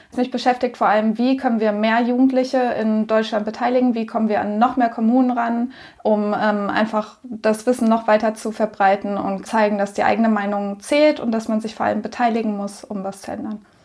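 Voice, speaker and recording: This woman has a fairly high pitch and talks at a fairly quick pace with hardly any pauses, her intonation flat and monotone, over noticeable background noise. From Lower Saxony, near Hannover. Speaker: podcast co-host, youth civic education facilitator. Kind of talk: casual chat.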